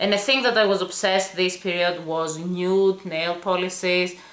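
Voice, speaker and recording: The speech comes at a moderate pace with fairly even intonation, audible room echo, and noticeable background noise. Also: woman. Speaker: beauty vlogger. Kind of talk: product review.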